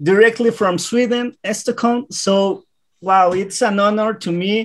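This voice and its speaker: Recorded very cleanly against a silent background, the speaker has a non-native accent. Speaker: interviewer. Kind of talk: interview.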